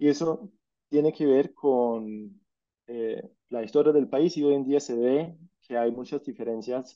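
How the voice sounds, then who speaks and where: This man speaks at a very slow pace in a medium pitch. His tone is dark and mellow, with ordinary pitch variation. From Scandinavia (Norway, Denmark). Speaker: journalist and political scientist, speaker. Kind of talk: talk with slides. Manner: halting, with fillers.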